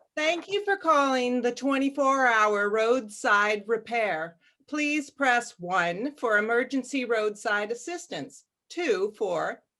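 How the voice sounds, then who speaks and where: A woman puts on a robotic character voice, high in pitch and delivered at a very slow pace. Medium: audio drama. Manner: polite, flat, robotic.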